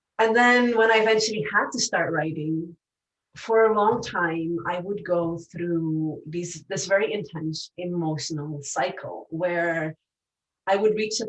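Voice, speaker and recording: A woman speaks at a fairly slow pace with a non-native accent. Her fairly low pitch shows ordinary variation. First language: not English. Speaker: professor. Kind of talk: personal reflection.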